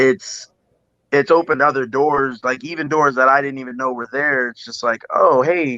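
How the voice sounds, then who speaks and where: A man with a Midwestern US accent speaks at a moderate pace. His tone is bright and sharp, and the sound is dry and close with no echo. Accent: US Midwest. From Iowa, Quad Cities. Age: 30s. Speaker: singer. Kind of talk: casual interview.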